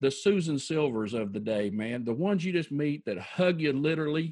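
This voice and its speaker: Here a man has a normal speaking voice. He talks at a moderate pace with lively intonation. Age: 50s. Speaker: financial advisor. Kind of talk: interview.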